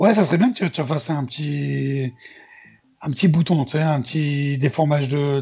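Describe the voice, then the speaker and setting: A man's somewhat breathy, fairly high-pitched voice at a moderate pace, with ordinary pitch variation. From southern France, near Marseille. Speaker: podcaster. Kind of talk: improvised storytelling; casual chat.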